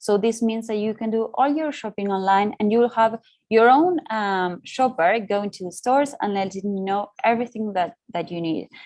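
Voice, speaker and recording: This is a plain, everyday voice of a woman, fairly high in pitch with ordinary pitch variation. She talks at a moderate pace with hardly any pauses against a quiet background. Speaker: market research consultant. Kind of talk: webinar presentation. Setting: online webinar.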